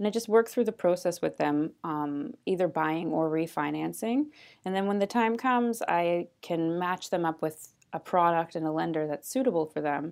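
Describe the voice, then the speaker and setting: A woman with an unremarkable speaking voice and a fairly low pitch talks at a fairly quick pace with ordinary pitch variation. The recording is very clean, with a silent background. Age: 30s. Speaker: mortgage agent. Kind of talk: interview conversation.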